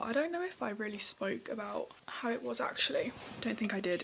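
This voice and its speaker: A woman is whispering. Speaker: vlogger. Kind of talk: casual vlog talk.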